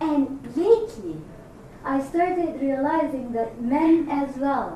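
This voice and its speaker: Noticeable background noise and audible room echo surround a voice with lively intonation. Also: woman. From Egypt. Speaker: executive coach. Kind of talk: workshop discussion. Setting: room with audience.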